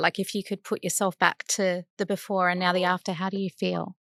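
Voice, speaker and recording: With an Australian accent, a woman speaks at medium pitch and a moderate pace, the sound dry and close with no echo and the background quiet. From Sydney, Australia. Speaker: podcast host. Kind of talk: interview.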